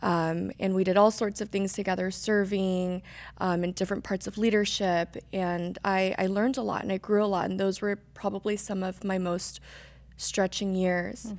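A woman's medium-pitched, monotone, flat delivery at a moderate pace. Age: 20s. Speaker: guest sharing cancer and faith story. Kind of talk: testimony.

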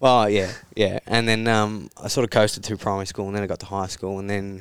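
A man with an Australian accent speaks at a very fast pace in a fairly low pitch and a flat monotone, on a very clean recording with a silent background. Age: 20s. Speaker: psychology student in addiction recovery. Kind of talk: interview about personal story.

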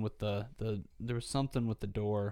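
Recorded very cleanly against a silent background, a man speaks at medium pitch. His dark, mellow tone stays monotone and flat. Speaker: podcast host. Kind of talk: casual chat. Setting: studio.

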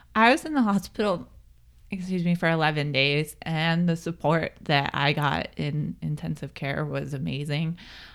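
In a very clean recording with a silent background, a woman speaks with an American accent at a moderate pace. Her pitch is very deep and low, with ordinary variation. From Pennsylvania, US. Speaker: triathlete and crash survivor. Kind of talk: interview, personal testimony.

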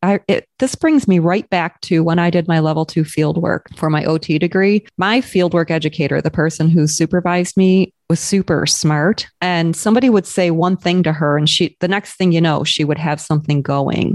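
A woman speaks in a plain, everyday voice, fairly low in pitch with ordinary pitch variation and very even loudness. Her pace is moderate with hardly any pauses, and the sound is dry and close with no echo. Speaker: occupational therapist and educator. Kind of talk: casual podcast discussion.

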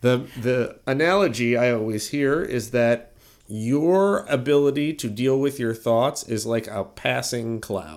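A man speaks in a normal speaking voice, medium in pitch with ordinary pitch variation. His pace is fairly slow, and the recording is very clean with a silent background. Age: 40s. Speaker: podcast host. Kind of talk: casual chat; mock sponsor ad read.

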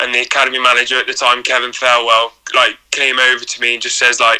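This man speaks at a medium pitch and a very fast pace. His intonation is flat and monotone. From Shropshire, England. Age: 20s. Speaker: professional goalkeeper. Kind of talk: casual interview.

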